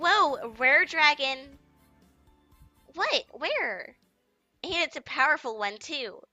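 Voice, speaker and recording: A woman with a high-pitched voice talks at a very slow pace, leaving long, frequent pauses. Music plays in the background. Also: lively intonation. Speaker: let's play gamer. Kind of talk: visual novel read-aloud. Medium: read story.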